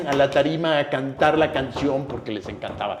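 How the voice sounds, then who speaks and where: A man with a Mexican accent amid noticeable background noise. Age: 60s. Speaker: actor. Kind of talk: interview conversation.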